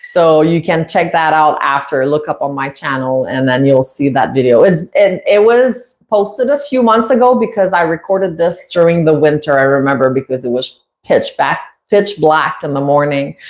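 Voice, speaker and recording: Very deep, low female voice in a French Canadian accent, lively in intonation, at a moderate pace with hardly any pauses. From Quebec, Canada. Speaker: parrot owner and YouTuber. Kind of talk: casual livestream chat. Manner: halting, many fillers.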